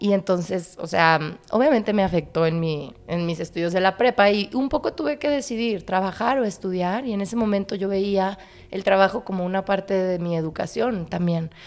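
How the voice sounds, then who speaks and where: A woman speaks at medium pitch in a normal speaking voice, with lively intonation, a moderate pace and hardly any pauses. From Monterrey, northern Mexico. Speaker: actress and visual artist. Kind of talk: casual chat.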